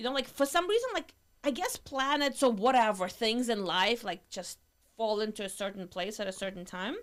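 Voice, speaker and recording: Lively intonation and a moderate pace mark this speech in a Russian accent. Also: woman, fairly high pitch for a woman. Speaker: entrepreneur. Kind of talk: casual chat.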